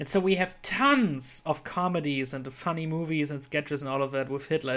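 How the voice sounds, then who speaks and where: A man speaks in a German accent. His pace is moderate and his pitch variation is ordinary. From Germany. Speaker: podcast host. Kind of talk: casual chat.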